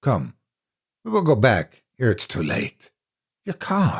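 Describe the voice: A man's put-on character voice, medium in pitch with a husky, rough edge, slow pace and very wide pitch swings, in a very clean recording over a silent background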